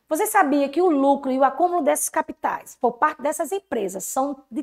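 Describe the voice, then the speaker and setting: Over a silent background in a very clean recording, a woman with a high voice speaks at a moderate pace with lively intonation. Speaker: teacher. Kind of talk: lecture.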